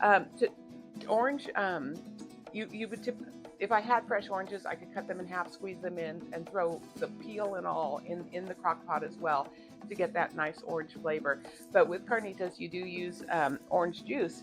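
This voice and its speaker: Music plays behind a woman whose fairly low voice moves with lively intonation. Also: moderate pace. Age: 50s. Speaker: cooking vlogger. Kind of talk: cooking tutorial. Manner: hesitant, many fillers; casual, chatty.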